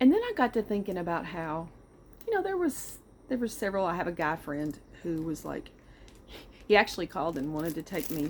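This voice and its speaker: A woman with a Southern US accent, fairly low in pitch for a woman, at a moderate pace. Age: 60s. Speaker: vlogger. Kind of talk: casual personal monologue. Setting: outdoors on back porch.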